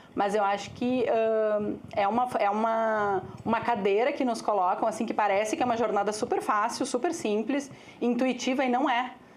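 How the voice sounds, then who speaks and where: At a moderate pace, a woman with a fairly high voice and ordinary pitch variation keeps her loudness very even, with audible room echo. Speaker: agency executive. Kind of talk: panel talk. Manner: calm.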